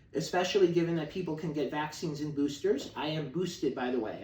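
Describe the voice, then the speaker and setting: A man talks very fast with an American accent and a fairly high pitch. Audible room echo and noticeable background noise fill the recording. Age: 30s. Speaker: activist on hunger strike. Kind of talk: video monologue. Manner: casual, with fillers.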